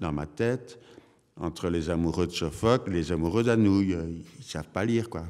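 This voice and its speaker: The speaker is a man with a very deep, low pitch. He talks at a fairly slow pace with ordinary pitch variation. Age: 80s+. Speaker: theatre director. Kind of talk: public conversation. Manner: halting, with repetitions; animated.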